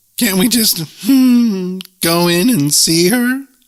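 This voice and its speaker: A man's put-on character voice, high-pitched, at a very slow pace. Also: ordinary pitch variation. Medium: read story. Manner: mournful, hooting, breathless.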